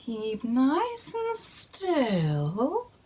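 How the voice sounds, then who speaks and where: The voice is a put-on character voice. It comes from a woman and sits high in pitch. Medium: read story. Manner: buzzing, matter-of-fact.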